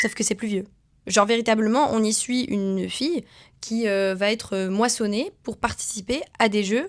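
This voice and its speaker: The voice belongs to a woman with a fairly high pitch. Her pitch varies in an ordinary way. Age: 20s. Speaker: vlogger. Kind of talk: casual vlog talk to camera. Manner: fast.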